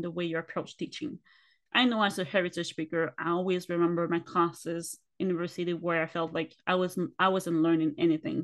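A moderate pace of talk comes through against a quiet background. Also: woman. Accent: Spanish. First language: Spanish. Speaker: podcast co-host. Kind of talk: casual interview chat. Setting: video call.

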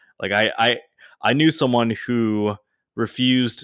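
A man talks fairly slowly in a normal speaking voice with ordinary pitch variation. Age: 20s. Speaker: podcast co-host. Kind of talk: casual chat.

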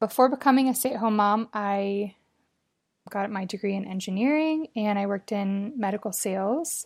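With an American accent, a woman talks at a moderate pace in an unremarkable speaking voice of medium pitch and ordinary pitch variation, on a very clean recording with a silent background. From Colorado. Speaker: stay-at-home mom and caregiver. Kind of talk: interview storytelling.

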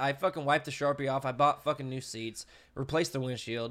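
A man's fairly high voice at a moderate pace, with ordinary pitch variation, on a very clean recording with a silent background. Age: 20s. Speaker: podcast host and YouTuber. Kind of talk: casual chat. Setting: home.

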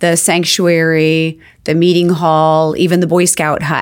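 An American accent comes through in monotone, flat intonation. The recording is very clean, with a silent background. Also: woman. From Arizona, Phoenix. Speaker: wedding venue and winery owner. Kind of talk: casual interview chat. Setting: studio.

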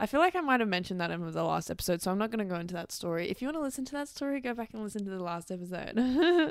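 An Australian-accented woman at a very fast pace, medium pitch with very wide swings and hardly any pauses. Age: 20s. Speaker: podcast host and dancer. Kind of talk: casual solo monologue.

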